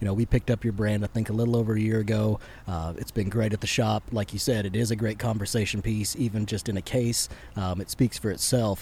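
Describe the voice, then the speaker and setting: A man's somewhat breathy, dark and mellow voice with an American accent, very fast pace and fairly even intonation. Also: fairly low pitch for a man. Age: 30s. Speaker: podcast host and shop owner. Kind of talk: casual chat. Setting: on a boat.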